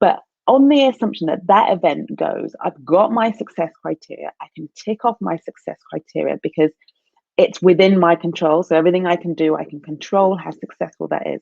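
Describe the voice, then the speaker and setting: A woman speaks at a fairly quick pace, with big swings in loudness. The sound is dry and close, without echo. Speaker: career coach. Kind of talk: live stream talk. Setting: live video stream. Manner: halting. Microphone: poor internet connection.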